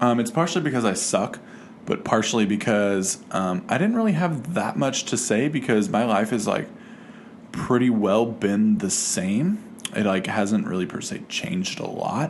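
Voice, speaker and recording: Noticeable background noise fills the clip. A man speaks at a medium pitch. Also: lively intonation. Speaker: vlogger. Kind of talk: casual vlog monologue. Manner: fast; rambling with many fillers.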